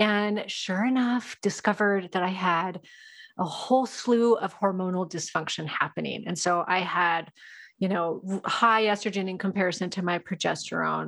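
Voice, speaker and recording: Against a quiet background, a woman speaks in a normal speaking voice. Her pitch is medium and her pace moderate. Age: 40s. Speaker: hormone specialist and nutrition coach. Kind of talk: casual interview chat.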